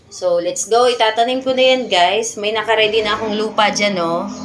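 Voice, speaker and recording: Speaking at a fairly slow pace and a fairly high pitch, a woman is heard with audible room echo and noticeable background noise. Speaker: gardening vlogger. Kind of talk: casual vlog tutorial. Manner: loud; animated.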